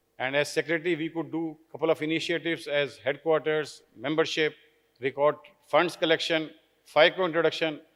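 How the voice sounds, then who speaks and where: Speaking at a fairly quick pace, a man holds a fairly high pitch with monotone, flat intonation. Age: 60s. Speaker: outgoing president of a medical society. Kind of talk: formal speech at a conference. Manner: halting, many fillers.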